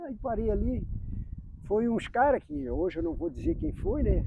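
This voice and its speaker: A man speaks in a high pitch. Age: 60s. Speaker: amateur footballer. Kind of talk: interview. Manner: halting.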